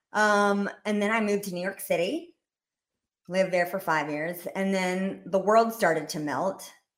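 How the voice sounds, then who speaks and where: A woman with an American accent talks in an ordinary speaking voice at a moderate pace and medium pitch, with fairly even intonation, in a very clean recording with a silent background. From US South, Rome, Georgia. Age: 30s. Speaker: comedy sketch creator. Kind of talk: casual chat.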